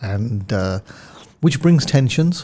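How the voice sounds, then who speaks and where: Speaking at a fairly slow pace in a London accent, a man has a medium-pitched, dark, mellow voice on a very clean recording with a silent background. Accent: British, London. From London, England. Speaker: telecom executive. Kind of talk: podcast interview.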